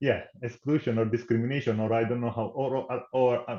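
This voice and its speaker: A man speaks in an Italian accent at a moderate pace and medium pitch. His tone is dark and mellow, with fairly even intonation. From Italy. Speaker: tech company program manager. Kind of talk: podcast interview.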